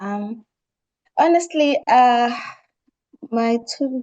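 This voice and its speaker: A woman speaks with a non-native accent. Her voice is high-pitched, with a dark, mellow tone. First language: not English. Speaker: research training participant. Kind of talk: online workshop discussion.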